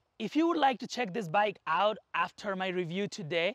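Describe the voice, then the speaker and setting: The background is quiet. A man talks at a high pitch. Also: dry sound with no echo. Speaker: product reviewer. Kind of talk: product review intro. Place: open country.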